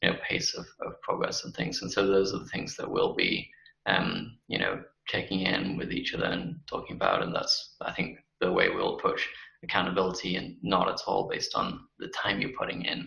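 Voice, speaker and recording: The pace is moderate. A man talks with a British accent. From UK. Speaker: company CEO. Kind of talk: interview. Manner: halting, many fillers.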